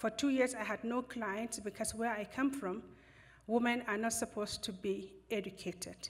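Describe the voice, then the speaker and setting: Somewhat breathy, a woman speaks at a fairly high pitch. Her pace is moderate. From northern Nigeria. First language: a Nigerian language, English fifth. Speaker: lawyer. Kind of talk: lecture.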